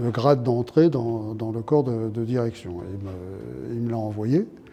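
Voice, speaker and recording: A man at a fairly slow pace, with ordinary pitch variation and noticeable background noise. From France, Lyon. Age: 70s. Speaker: retired prison director. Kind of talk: interview testimony.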